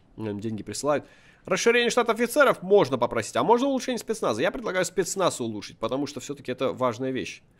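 A man's animated, very fast delivery with very wide pitch swings, a fairly high pitch, and vocal fry. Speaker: gaming video creator. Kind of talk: gameplay commentary.

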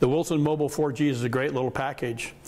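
Fairly even intonation from a man at a fairly quick pace. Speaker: presenter. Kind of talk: product demonstration. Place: studio. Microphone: lapel.

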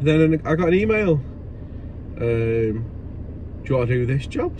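A man is speaking. Noticeable background noise is present. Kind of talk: casual vlog chat. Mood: animated storytelling. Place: car. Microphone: phone near.

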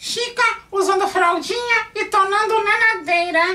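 A man does a put-on character voice at an extremely high pitch. He speaks at a fairly slow pace. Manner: sassy, teasing.

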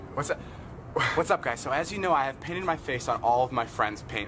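A wheezy put-on character voice at a fairly quick pace. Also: man, fairly high pitch for a man. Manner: mocking, wheezy delivery.

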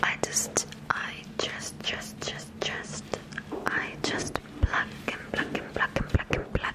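The speech is whispered and very slow. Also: woman. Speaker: ASMR artist. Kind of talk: ASMR trigger words. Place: home room. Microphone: studio mic.

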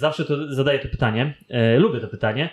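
A man speaks at a very fast pace with a Polish accent. Audible echo fills the room. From Poland. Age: 30s. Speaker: podcast host. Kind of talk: casual interview. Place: home room.

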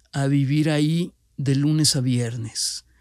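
The voice shows ordinary pitch variation in a very clean recording with a silent background and a dry, close sound with no echo. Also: man. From Monterrey, Nuevo León, Mexico. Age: 40s. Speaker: cancer survivor and entrepreneur. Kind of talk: personal testimony.

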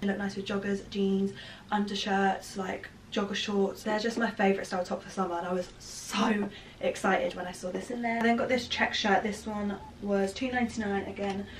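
A woman talks in a flat monotone at a moderate pace over light background noise. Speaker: fashion vlogger. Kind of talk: casual vlog chat. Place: home room. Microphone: camera far.

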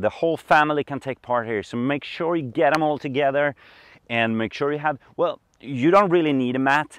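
The pitch of a man's speech varies in an ordinary way. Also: dry sound with no echo. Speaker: yoga instructor. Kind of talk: tutorial. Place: open country.

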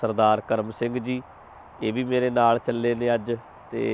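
A man speaks in a monotone, flat delivery, the sound dry with no echo and light background noise behind him. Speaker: vlogger, preacher. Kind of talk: casual vlog chat. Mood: cheerful, joking. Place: open country. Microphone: lapel.

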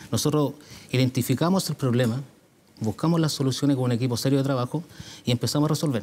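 A man talks at a very fast pace in a fairly high voice. His tone is dark and mellow, and his intonation fairly even. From Puente Alto, Santiago, Chile; Chile. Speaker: mayoral candidate; candidate. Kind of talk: televised political debate. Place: studio. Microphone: lapel.

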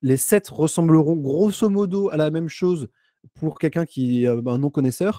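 A man speaks at a moderate pace with a fairly high pitch, a dark, mellow tone and ordinary pitch variation. The background is quiet and the sound is dry with no echo. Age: 20s. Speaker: data scientist consultant. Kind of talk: live stream interview. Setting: remote streaming setup. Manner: hesitant, many filler sounds. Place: home room. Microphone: studio mic.

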